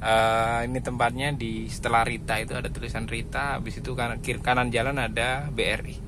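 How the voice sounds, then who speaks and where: A man speaks at a fairly quick pace with audible room echo and noticeable background noise. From East Java, Indonesia. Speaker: ride-hailing driver vlogger. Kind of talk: casual driving vlog. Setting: in a car.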